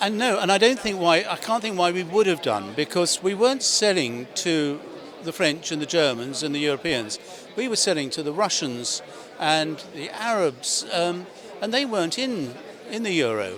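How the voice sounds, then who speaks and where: A man with a high voice speaks at a moderate pace, his pitch swinging very widely over noticeable background noise. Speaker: auctioneer and chairman of a property auction house. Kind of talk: interview answer.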